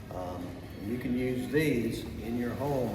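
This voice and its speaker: A man's fairly even intonation over music in the background. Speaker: fitness coach. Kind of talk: casual talk to camera. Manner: casual, hesitant.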